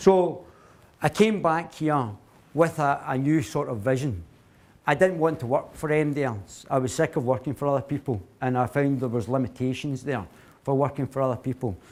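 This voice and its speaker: In a strong Glaswegian accent, a man speaks at a fairly high pitch with ordinary pitch variation on a very clean recording with a silent background. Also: moderate pace. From Scotland, Glasgow. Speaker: company CEO, guest speaker. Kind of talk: talk to a university society. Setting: speech to a student audience. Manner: hesitant, many fillers and restarts.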